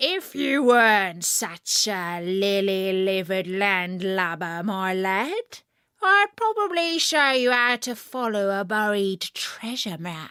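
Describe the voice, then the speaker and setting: Using a put-on character voice, a woman of medium pitch growls at a fairly slow pace in a very clean recording with a silent background. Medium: read story. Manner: roaring, snarling.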